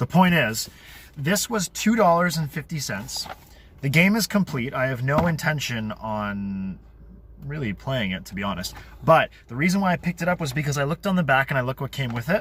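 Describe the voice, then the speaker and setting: This man's fairly high voice moves through very wide pitch swings. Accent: American. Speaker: board game youtuber and designer. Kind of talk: casual vlog narration. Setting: thrift store / outdoors vlog. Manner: quiet in store.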